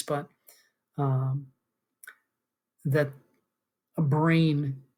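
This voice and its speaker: Flat, monotone intonation runs through this somewhat breathy voice. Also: man. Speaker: philosophy lecturer and author. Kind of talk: lecture. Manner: halting, many fillers.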